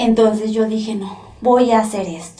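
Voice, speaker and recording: A woman's fairly high, somewhat breathy voice with a dark, mellow tone and a Mexican accent, fairly slow, with audible room echo. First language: Nahuatl (speaking Spanish). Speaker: former prisoner, poet and translator. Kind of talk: testimony. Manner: halting, with self-corrections.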